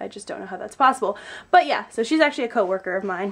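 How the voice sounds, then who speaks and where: Noticeable background noise surrounds this woman's voice. Her pitch is fairly high and swings very widely. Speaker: vlogger. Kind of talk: casual vlog.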